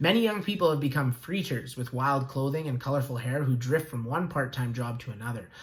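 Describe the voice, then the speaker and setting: The speech moves at a fairly quick pace and sounds somewhat breathy. Room echo is audible. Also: man. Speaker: school teacher. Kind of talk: lecture. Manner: fast.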